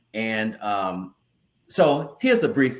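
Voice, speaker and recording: With an American accent, the voice moves through very wide pitch swings and carries vocal fry. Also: man. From US Midwest, central Indiana. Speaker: theater company leader and actor. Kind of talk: casual interview chat.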